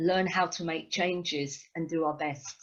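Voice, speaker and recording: A woman with a London accent speaks at a fairly slow pace, her voice somewhat breathy. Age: 60s. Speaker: rock musician. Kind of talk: interview.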